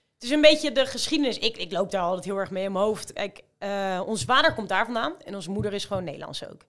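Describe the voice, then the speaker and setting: On a very clean recording with a silent background, a woman at medium pitch talks at a very fast pace with hardly any pauses, lively intonation and big swings in loudness. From Rotterdam, Netherlands. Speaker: amateur marathon runner. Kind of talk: casual chat.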